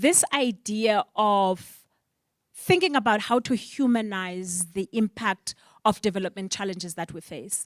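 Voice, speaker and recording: With a South African accent, a woman speaks at a very slow pace in a fairly high pitch with lively intonation, the sound dry and close with no echo on a very clean recording with a silent background. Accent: South African (Xhosa) English. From Eastern Cape, South Africa. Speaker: panel moderator. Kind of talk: panel discussion.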